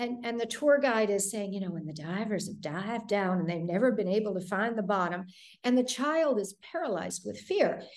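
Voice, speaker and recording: The speech comes at a fairly quick pace with an American accent. Intonation is lively, and room echo is audible. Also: woman, medium pitch for a woman. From US Midwest, Detroit. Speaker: thriller author. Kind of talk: interview.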